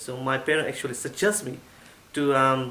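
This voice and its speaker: Speaking at a moderate pace, a man with a Burmese accent has a fairly high pitch. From Myanmar, Yangon. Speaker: IT assistant manager, former international student. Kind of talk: testimonial. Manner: halting.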